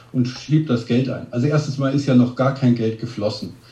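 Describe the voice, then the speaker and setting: A man with a dark, mellow, somewhat breathy tone talks at a fairly quick pace amid audible room echo. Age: 50s. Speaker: restaurant ranking blogger. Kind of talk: interview.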